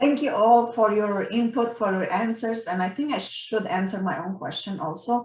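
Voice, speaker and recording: A woman speaks with a Romanian accent at a fairly high pitch. Her pitch variation is ordinary. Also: moderate pace, hardly any pauses. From Romania, Transylvania. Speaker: professor and university council chair. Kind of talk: meeting discussion. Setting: video call.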